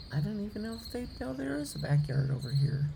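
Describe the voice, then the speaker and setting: A woman speaks at a moderate pace with a very deep, low pitch. There is audible room echo. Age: 60s. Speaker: hummingbird vlogger. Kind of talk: casual chat. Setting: outdoors.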